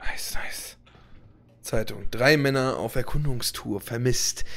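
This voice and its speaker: A man's medium-pitched voice at a fairly slow pace. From Hannover, Germany. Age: 20s. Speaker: gaming YouTuber and motovlogger. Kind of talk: let's play commentary. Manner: casual, loud.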